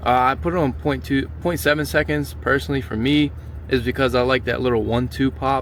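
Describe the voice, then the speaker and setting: A man talks at a fairly quick pace in a medium pitch with very wide pitch swings, over noticeable background noise. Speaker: car enthusiast vlogger. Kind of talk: casual car vlog walkthrough. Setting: car wash. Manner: casual, stumbling over words; loud.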